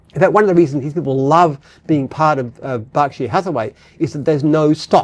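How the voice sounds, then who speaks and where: Speaking with an Australian accent, a man uses a fairly high pitch. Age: 70s. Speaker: business founder. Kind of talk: casual chat. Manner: halting.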